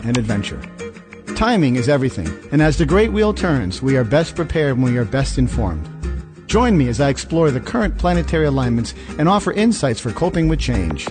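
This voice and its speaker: A man talks at a fairly quick pace with very even loudness. Music plays in the background. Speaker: podcast host. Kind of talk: radio show intro read.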